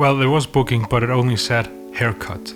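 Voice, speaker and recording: Music plays in the background. Over it, a man with an Icelandic accent speaks at a medium pitch. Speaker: filmmaker. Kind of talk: casual storytelling to camera. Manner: rambling.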